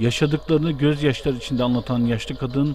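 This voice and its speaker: Ordinary pitch variation at a moderate pace, over background music. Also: man. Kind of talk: news report read aloud.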